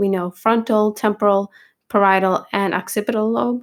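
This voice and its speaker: Speaking at a moderate pace with ordinary pitch variation, this is a plain, everyday voice. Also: woman. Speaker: nursing exam review tutor. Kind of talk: tutorial. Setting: recorded video with edited pauses.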